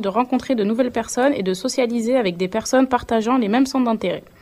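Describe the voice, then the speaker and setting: A woman's fairly even intonation, with noticeable noise in the background. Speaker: vocational student, radio presenter. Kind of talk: scripted presentation.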